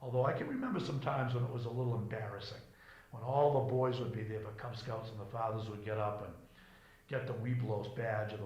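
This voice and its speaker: A man with a New England accent talks at a very fast pace in a medium pitch and a monotone, flat intonation, amid noticeable background noise and audible room echo. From Cape Cod, Massachusetts. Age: 70s. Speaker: local resident interviewee. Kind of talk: oral history interview.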